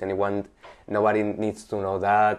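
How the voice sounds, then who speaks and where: Against a quiet background, a man speaks with a Spanish accent. His intonation is monotone and flat. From Spain, Valencia. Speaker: artist. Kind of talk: interview. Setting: in the guest's apartment. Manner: halting.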